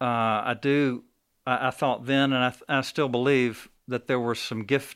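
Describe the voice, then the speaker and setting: Speaking with a Southern US accent, this man has a medium pitch and fairly even intonation. The recording is very clean, with a silent background. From Alabama, Birmingham. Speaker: coffee shop owner. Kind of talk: interview testimony. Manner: halting.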